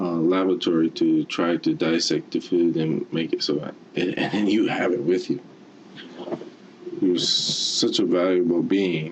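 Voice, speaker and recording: Noticeable background noise runs through the clip. This man speaks fairly slowly. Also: very even loudness. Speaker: motivational speaker. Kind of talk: motivational talk. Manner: halting.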